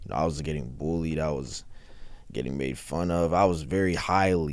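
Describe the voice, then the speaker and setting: The speaker has an American accent. There is audible room echo. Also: man. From US South. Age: 20s. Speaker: rapper. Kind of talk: interview.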